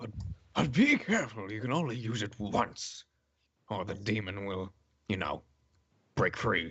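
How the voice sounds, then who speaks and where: A raspy, put-on character voice from a man at medium pitch, at a moderate pace with long, frequent pauses. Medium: actual play. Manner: hesitant, rambling.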